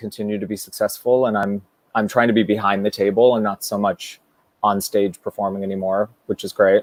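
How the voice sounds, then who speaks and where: In an unremarkable speaking voice, a man talks at a moderate pace with fairly low pitch and fairly even intonation, the sound dry and close with no echo. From US West Coast, San Francisco. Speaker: Broadway performer and director. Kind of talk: casual chat.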